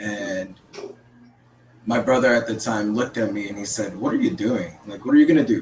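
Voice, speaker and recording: Against noticeable background noise, a man with a medium pitch talks at a fairly quick pace with ordinary pitch variation, big swings in loudness, and long, frequent pauses. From Philippines, raised in Oakland, California. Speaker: counselor and Navy veteran. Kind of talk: podcast interview.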